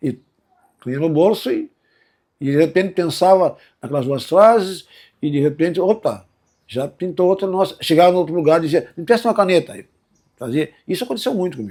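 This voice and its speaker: A man with a dark, mellow tone speaks at high pitch for a man, fairly quickly, with lively intonation. His delivery has long, frequent pauses and big swings in loudness, on a very clean recording with a silent background. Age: 70s. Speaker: musician and songwriter. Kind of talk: testimony. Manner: casual, hesitant with false starts.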